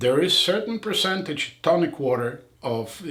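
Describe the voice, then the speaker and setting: With a non-native accent and lively intonation, a man talks at a fairly high pitch amid audible room echo and noticeable background noise. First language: not English. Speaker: eye surgeon. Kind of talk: casual chat.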